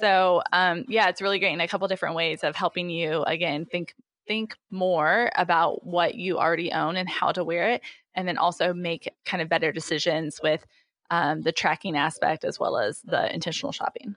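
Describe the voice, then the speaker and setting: Sound is dry and close with no echo, and the background is quiet. A woman with a US Midwestern accent speaks at a fairly low pitch. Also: ordinary pitch variation, moderate pace. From Indiana, US Midwest. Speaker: startup founder and CEO. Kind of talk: interview. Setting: remote call from home office. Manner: hesitant, many fillers.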